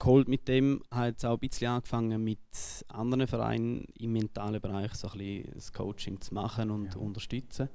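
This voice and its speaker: The man's voice has a dark, mellow tone and a medium pitch, and he moves at a moderate pace. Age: 30s. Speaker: audience member, gymnastics coach. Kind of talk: audience question.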